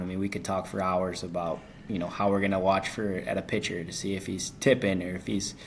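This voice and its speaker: A man with an American accent and fairly low pitch, in audible room echo. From Wisconsin, Kenosha. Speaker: baseball team manager, guest. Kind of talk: casual interview chat.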